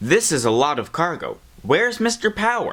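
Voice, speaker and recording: A man performs a put-on character voice pitched high. He keeps to a moderate pace. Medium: machinima.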